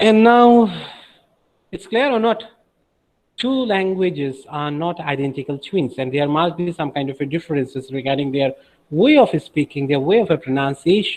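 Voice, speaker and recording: A man with a Bengali accent, fairly high pitch, lively intonation and a moderate pace. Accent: Bengali-accented Indian English. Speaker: teacher. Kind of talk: lecture.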